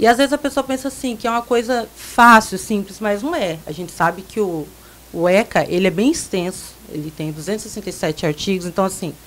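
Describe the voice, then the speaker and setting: At a fairly quick pace, a woman speaks in an unremarkable speaking voice at medium pitch, her intonation lively. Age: 20s. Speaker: council candidate. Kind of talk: radio interview.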